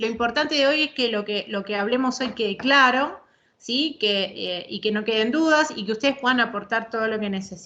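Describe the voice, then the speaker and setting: Over a quiet background, a woman talks in a fairly high, bright, sharp voice with ordinary pitch variation. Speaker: psychologist and court expert lecturing. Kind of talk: online lecture. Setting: video call. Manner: fast when she gets going; hesitant fillers and repetitions.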